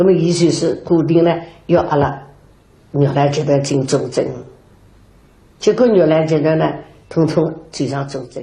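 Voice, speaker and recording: In a dark, mellow tone that is somewhat breathy, the speaker goes at a fairly slow pace with ordinary pitch variation and long, frequent pauses. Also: woman, very deep, low pitch for a woman. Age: 80s. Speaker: Yue opera performer. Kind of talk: documentary interview answer. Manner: slow, reminiscing.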